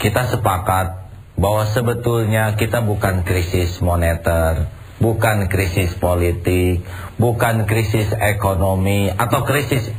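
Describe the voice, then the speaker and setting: Very slow, very evenly loud speech with fairly even intonation and noticeable background noise. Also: man, fairly low pitch for a man. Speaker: Islamic preacher. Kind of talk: Islamic sermon to an audience.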